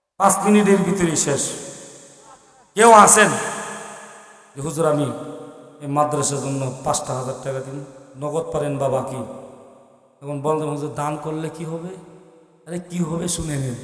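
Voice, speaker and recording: Beneath the man's voice, background noise is noticeable. His pitch varies in an ordinary way. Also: fairly high pitch for a man. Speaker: Islamic preacher. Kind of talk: religious sermon to a live gathering. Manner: emotional.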